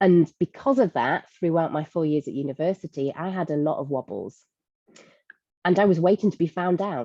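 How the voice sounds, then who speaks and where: A woman in a Lancashire accent talks at a moderate pace with lively intonation and a dark, mellow tone at a fairly low pitch, the sound dry and close with no echo. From northern England, Blackpool. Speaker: leadership coach and speaker. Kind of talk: webinar talk.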